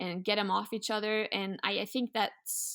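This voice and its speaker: Recorded very cleanly against a silent background, a woman talks at a moderate pace with monotone, flat intonation. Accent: Norwegian. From Norway. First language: Norwegian. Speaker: sled dog musher and outdoors content producer. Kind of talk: casual interview conversation.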